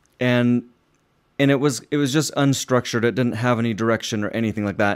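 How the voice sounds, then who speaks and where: On a very clean recording with a silent background, a man with an unremarkable speaking voice and a medium pitch talks at a fairly quick pace. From Utah, US. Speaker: composer and cellist. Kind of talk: solo monologue about his music.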